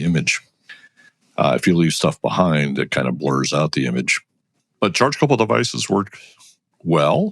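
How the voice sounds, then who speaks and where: Vocal fry runs through a man's fairly quick speech, recorded with a dry, close sound with no echo. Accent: American. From US Northeast, Connecticut. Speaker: engineer and professor. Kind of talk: interview. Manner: hesitant, many fillers.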